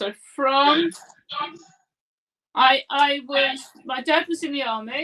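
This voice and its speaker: A woman's high, bright, sharp voice, raised and projected, at a very slow pace with long, frequent pauses. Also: ordinary pitch variation. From England, Leicester (East Midlands). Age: 60s. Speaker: property investor, former teacher. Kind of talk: interview.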